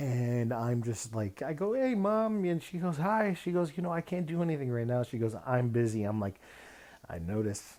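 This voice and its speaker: Speaking at a moderate pace, a man with a medium-pitched voice and a dark, mellow tone makes very wide pitch swings. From Mexican-American, US. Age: 30s. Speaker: direct support professional. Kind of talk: personal storytelling monologue. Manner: casual, with false starts.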